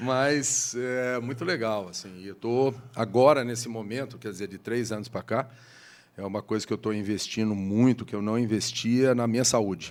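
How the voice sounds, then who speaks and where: At a moderate pace, a man talks at a medium pitch. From Brazil, Taubaté, Vale do Paraíba (São Paulo state). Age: 60s. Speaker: city urban planning official. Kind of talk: casual interview chat. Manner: energetic, talkative.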